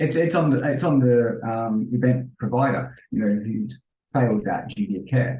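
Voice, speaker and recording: This man's voice sits at a medium pitch with ordinary pitch variation. His tone is dark and mellow, and somewhat breathy. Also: moderate pace. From London, England. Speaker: event safety professional. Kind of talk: podcast interview.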